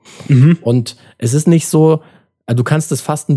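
Somewhat breathy, a man speaks in a dark, mellow tone. He keeps a moderate pace with ordinary pitch variation. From Germany (Turkish family, Adana roots). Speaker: podcast host. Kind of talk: casual chat.

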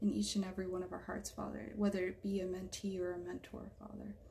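A woman with an American accent speaks fairly quickly at a medium pitch, in a monotone, flat way. Her tone is dark and mellow, and somewhat breathy. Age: 20s. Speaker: artist and EMT student. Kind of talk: spoken prayer; casual faith conversation.

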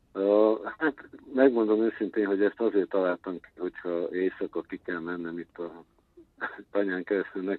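A man with a fairly low pitch talks fairly slowly, his pitch varying in an ordinary way. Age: 60s. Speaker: intermedia artist. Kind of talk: interview. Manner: halting.

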